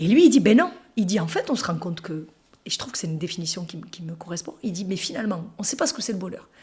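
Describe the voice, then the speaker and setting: A woman talks at a very fast pace and a medium pitch, with an animated tone and lively intonation. Her loudness swings widely over noticeable background noise. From France, Toulouse. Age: 40s. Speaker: interviewee sharing life story. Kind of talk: casual interview conversation.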